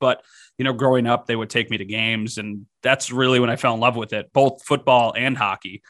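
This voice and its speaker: A man's medium-pitched voice at a very fast pace, fairly even in intonation, with a dry, close sound with no echo and music in the background. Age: 20s. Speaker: TV sports director. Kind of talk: casual sports podcast chat.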